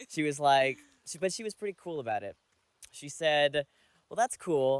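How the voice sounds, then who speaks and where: A man with an ordinary speaking voice talks at a fairly quick pace. His pitch variation is ordinary. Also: dry, close sound with no echo. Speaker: college theater student. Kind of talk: interview testimony.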